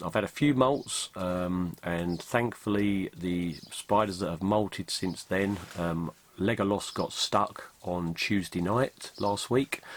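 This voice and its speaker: At a very slow pace, a man with an English accent speaks in a very deep, low pitch with ordinary pitch variation. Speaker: tarantula keeper vlogger. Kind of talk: casual vlog recap. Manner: hesitant, many ums.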